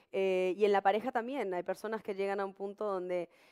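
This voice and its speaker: At a moderate pace, a woman speaks with a dark, mellow tone and medium pitch. The background is quiet. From Uruguay. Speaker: live TV show host. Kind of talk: live bilingual talk show, advice and reading chat. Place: studio. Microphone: headset.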